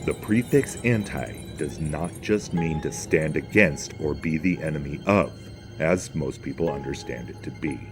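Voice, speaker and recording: Over background music, a man with an American accent talks at a moderate pace in a very deep, low voice with lively intonation. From northern United States. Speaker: religion commentator. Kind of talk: spoken essay narration.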